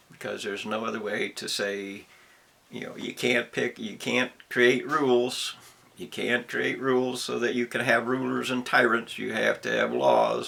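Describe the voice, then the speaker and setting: Male speech at a medium tempo, clearly audible noise in the background. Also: big swings in loudness. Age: 70s. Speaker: commentator giving a personal monologue. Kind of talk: rant. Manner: halting; emphatic.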